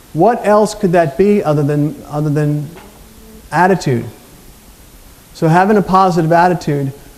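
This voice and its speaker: A man talks at a fairly quick pace with an American accent and ordinary pitch variation. Noticeable background noise runs behind him. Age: 50s. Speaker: motivational speaker. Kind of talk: conference talk.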